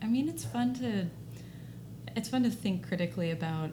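Female speaker in an American accent, room echo audible and background noise noticeable. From Texas, Dallas. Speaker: law student. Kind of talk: casual chat.

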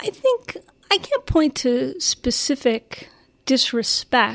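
A woman is heard on a very clean recording with a silent background. The sound is dry and close, without echo. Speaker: former homeland security adviser. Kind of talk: interview conversation. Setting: live interview at institute. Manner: soft-spoken.

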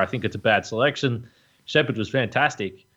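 Speaking at a medium pitch, a man talks with an Australian accent. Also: quiet background. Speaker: AFL podcast host. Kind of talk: casual sports discussion.

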